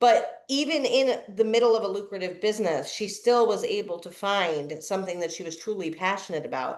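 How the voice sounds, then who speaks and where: A woman speaks in a plain, everyday voice at a fairly quick pace, with big swings in loudness and hardly any pauses. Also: medium pitch for a woman, lively intonation. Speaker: podcast host. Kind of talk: podcast interview host talk.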